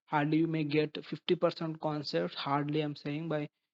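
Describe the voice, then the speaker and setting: With an Indian accent, a man talks at a fairly quick pace in a fairly high pitch and a monotone, flat intonation, recorded with a dry, close sound with no echo against a quiet background. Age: 20s. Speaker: chartered accountant. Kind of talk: advice talk to camera. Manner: halting.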